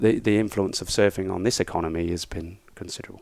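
The recording is very clean with a silent background. A man with a fairly low pitch speaks at a fairly quick pace. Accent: British. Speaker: economics teacher and former surf coach. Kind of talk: casual interview.

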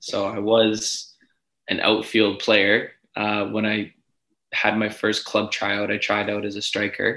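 A man with a Canadian accent speaks at a very slow pace, his pitch fairly low and his intonation monotone and flat. His tone is bright and sharp on a very clean recording with a silent background. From Edmonton, western Canada. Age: 20s. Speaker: professional soccer goalkeeper. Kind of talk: casual interview.

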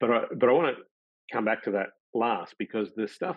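This man talks at a fairly slow pace with an Australian accent. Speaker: pain science professor. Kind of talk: webinar presentation. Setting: video call.

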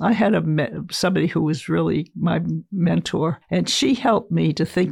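A woman's fairly low voice with vocal fry and ordinary pitch variation, on a very clean recording with a silent background. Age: 80s+. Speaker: sculptor. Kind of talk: casual chat.

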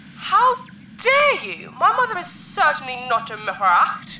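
A woman puts on a character voice, high-pitched, bright and sharp, with very wide pitch swings. She speaks at a fairly slow pace amid audible room echo.

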